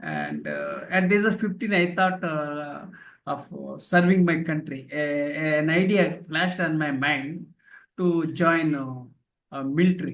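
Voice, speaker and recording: This man speaks at a fairly slow pace with a Telugu accent. His pitch is fairly high and his intonation fairly even. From India, rural village. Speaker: professor and author. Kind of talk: interview testimony. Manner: halting, many fillers.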